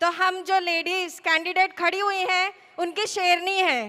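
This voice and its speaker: A woman speaks at an extremely high pitch. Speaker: election candidate. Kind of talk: political rally speech. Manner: soft-toned.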